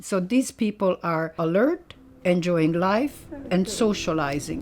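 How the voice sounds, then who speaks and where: A woman speaks at a very slow pace in a medium-pitched voice. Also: lively intonation. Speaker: yoga teacher. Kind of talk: yoga class talk and interview. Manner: talkative, chatty.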